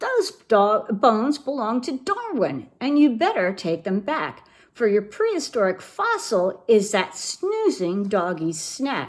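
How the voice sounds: Using a put-on character voice, a woman talks slowly at a medium pitch with very wide pitch swings.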